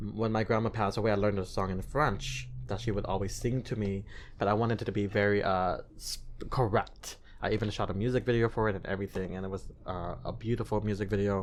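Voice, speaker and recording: A man with a slight non-native accent speaks at a very fast pace in a fairly low pitch with ordinary pitch variation and vocal fry. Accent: slight non-native hint in his English. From US, child of Cambodian and Thai refugees. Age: 30s. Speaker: singer and TV host. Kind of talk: podcast interview. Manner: animated.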